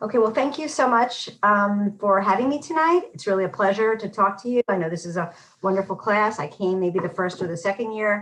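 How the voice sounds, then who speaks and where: A woman talks in a New York accent at a medium pitch. Her intonation is lively, and she moves at a fairly quick pace with hardly any pauses. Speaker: public health professor. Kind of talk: lecture. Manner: fast.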